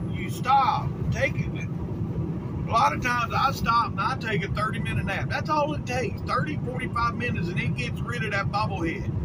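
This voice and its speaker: A man with a Southern US accent, a fairly high pitch, very wide pitch swings, a moderate pace and hardly any pauses, amid noticeable background noise and audible room echo. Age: 50s. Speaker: truck driver vlogger. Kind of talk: casual vlog monologue.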